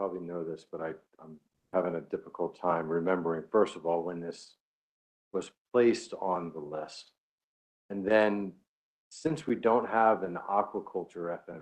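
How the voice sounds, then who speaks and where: A man speaks at a moderate pace in a very deep, low voice with ordinary pitch variation. His loudness swings widely, and he leaves long, frequent pauses. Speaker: fishery council member. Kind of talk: committee meeting discussion.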